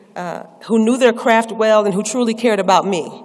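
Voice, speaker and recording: Noticeable background noise sits behind a woman with an American accent. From US Northeast. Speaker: professor. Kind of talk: presidential address. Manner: fast.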